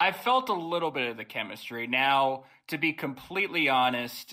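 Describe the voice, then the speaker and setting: A man talks at a moderate pace with a fairly high pitch, lively intonation and a bright, sharp tone. The recording is very clean, with a silent background. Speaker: podcast host. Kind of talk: podcast interview answer. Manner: loud.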